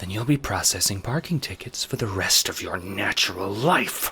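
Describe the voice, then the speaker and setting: Using a put-on character voice, a man talks at a moderate pace with a fairly low pitch and lively intonation. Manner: irritated, curt, through gritted teeth.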